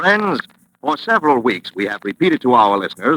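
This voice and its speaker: A man's bright, sharp voice with vocal fry, very wide pitch swings and a moderate pace, in a dry, close sound with no echo. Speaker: radio announcer. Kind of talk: vintage radio commercial read.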